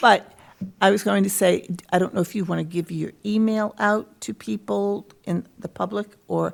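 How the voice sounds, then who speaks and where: A woman speaks quietly at a moderate pace on a very clean recording with a silent background. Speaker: council on aging staff member. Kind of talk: public meeting. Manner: quiet, hard to hear.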